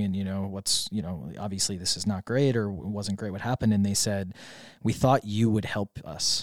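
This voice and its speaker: A normal speaking voice with an American accent moves at a fairly quick pace with fairly even intonation. The recording is very clean, with a silent background. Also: man. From US Midwest, Wisconsin. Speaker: startup founder. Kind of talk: interview.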